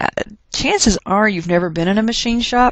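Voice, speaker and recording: A woman with a Texas accent, moderate pace and fairly even intonation. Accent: Texas twang. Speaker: chemistry teacher. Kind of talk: lecture. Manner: casual, conversational.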